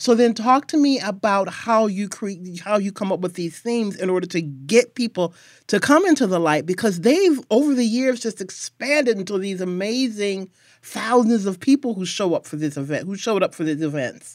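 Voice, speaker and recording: In a very clean recording with a silent background, a woman speaks in an unremarkable speaking voice at a medium pitch. Her pace is moderate and her intonation lively. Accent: American. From Milwaukee, Wisconsin. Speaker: podcast host. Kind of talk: interview and scripted narration.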